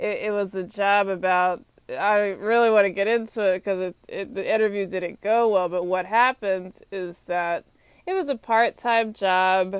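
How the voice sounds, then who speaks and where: A woman with an American accent speaks at a moderate pace and medium pitch, her intonation fairly even, in a very clean recording with a silent background. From Texas. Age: 30s. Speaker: podcaster. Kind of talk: solo monologue. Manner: halting.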